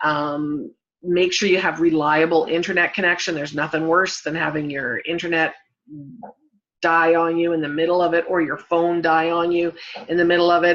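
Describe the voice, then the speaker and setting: A woman's fairly low-pitched voice, fairly quick and fairly even in intonation. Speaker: Facebook marketing trainer. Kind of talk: live-stream tutorial. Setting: Facebook live broadcast.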